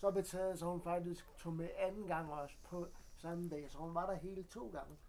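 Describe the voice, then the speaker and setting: Intonation here is fairly even. The speech keeps a moderate pace. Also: man, high pitch for a man. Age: 40s. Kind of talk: casual chat. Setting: studio. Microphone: poor sound quality.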